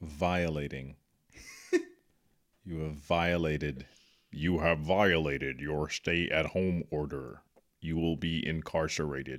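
Someone performs a put-on character voice at a very slow pace on a very clean recording with a silent background. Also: man, very deep, low pitch for a man. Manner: authoritative, commanding.

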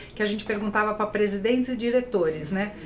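Audible room echo and noticeable background noise accompany speech at a very fast pace. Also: woman. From Brazil, São Paulo (Itaquera). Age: 50s. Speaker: HR business founder. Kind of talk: podcast interview.

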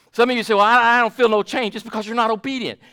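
A man projects a raised voice at a high pitch with a bright, sharp tone. The recording is very clean, with a silent background. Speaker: pastor. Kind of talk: sermon. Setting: church. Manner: fervent, declarative preacher cadence with emphatic repetition; warm, pastoral, addressing congregation directly.

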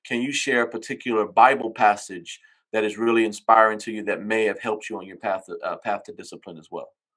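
Using a normal speaking voice, a man at medium pitch talks at a fairly quick pace over a quiet background. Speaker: podcast host. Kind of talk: interview.

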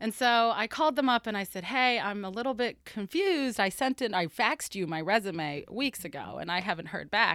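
An unremarkable speaking voice from a woman with an American accent, fairly high and lively in intonation, at a fairly quick pace, in a very clean recording with a silent background. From Florida. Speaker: research forensic scientist. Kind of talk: casual interview.

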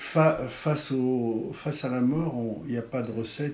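A man with a medium-pitched voice and ordinary pitch variation talks in a space with audible room echo. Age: 60s. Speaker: art critic and writer. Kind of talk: interview. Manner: halting.

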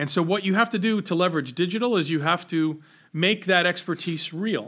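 A man with an American accent speaks in a high pitch. His tone is bright and sharp, on a very clean recording with a silent background. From Rhode Island, US (Johnston). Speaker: venture capitalist. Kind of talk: casual interview.

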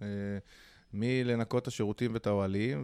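On a very clean recording with a silent background, a man with a fairly low pitch and a dark, mellow tone talks at a moderate pace with fairly even intonation. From Israel (Holon). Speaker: hostel entrepreneur. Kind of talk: interview.

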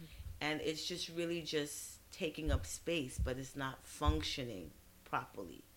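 A woman with an American accent speaks at a fairly slow pace. Audible room echo is present. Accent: New York with Caribbean touches. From Brooklyn, New York, of Trinidadian parents. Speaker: physician. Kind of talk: casual interview. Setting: studio.

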